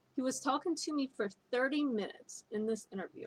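Somewhat breathy, the speaker talks at a moderate pace with an American accent. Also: woman. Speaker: spiritual coach. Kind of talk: motivational talk.

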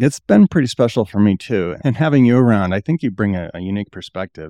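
Very fast male speech in a dark, mellow tone, dry and close with no echo, over a quiet background. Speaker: podcast host. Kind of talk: casual interview.

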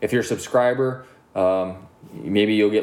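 A man talks in an unremarkable speaking voice at a fairly low pitch. His pitch varies in an ordinary way. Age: 30s. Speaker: podcast host. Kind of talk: casual chat.

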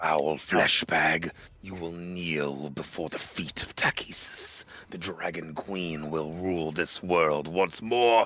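A man puts on a character voice that is very deep and low. It comes out guttural and growling. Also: fairly slow pace. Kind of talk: guttural monster voice. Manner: snarling, hateful, zealous.

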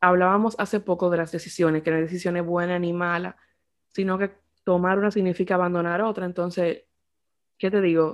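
On a very clean recording with a silent background, a woman of fairly low pitch speaks at a fairly quick pace in a monotone, flat intonation. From Dominican Republic. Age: 20s. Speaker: podcast co-host. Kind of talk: casual chat.

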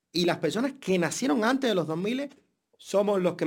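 A man's high voice with a Cuban accent and lively intonation at a moderate pace, on a very clean recording with a silent background. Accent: Cuban accent, keeps it. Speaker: podcast co-host. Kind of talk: casual chat.

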